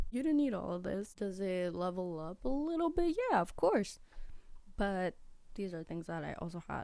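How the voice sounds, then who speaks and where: Lively intonation shapes a dark, mellow voice with an American accent. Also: woman, medium pitch for a woman, moderate pace. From US, Peruvian family. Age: 20s. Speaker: content creator. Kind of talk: casual vlog talk.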